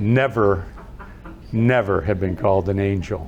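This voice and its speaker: A man's voice at a fairly slow pace with ordinary pitch variation, set against noticeable background noise. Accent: Midwestern American. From Ohio, Youngstown. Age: 70s. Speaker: author and inspirational speaker. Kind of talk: storytelling talk.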